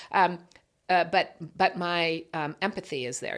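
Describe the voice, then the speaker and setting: A woman talks in a fairly low pitch with vocal fry and ordinary pitch variation. The recording is very clean, with a silent background. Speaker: business owner. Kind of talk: interview podcast.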